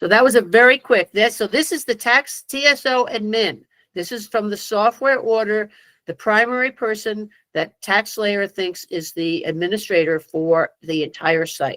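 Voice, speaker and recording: This woman's voice is fairly high with lively intonation. The sound is dry and close with no echo. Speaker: tax software trainer. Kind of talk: online training presentation. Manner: fast; hesitant, many fillers.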